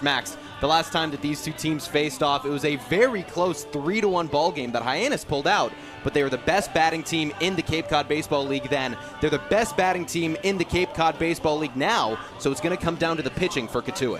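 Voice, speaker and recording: Over music in the background, a man talks at a fairly quick pace with a fairly high pitch and ordinary pitch variation. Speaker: sports broadcaster. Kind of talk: sports broadcast on-camera intro.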